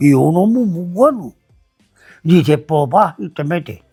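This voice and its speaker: Music can be heard in the background. Over it, a man talks with lively intonation. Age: 80s+. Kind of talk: interview answer, life story.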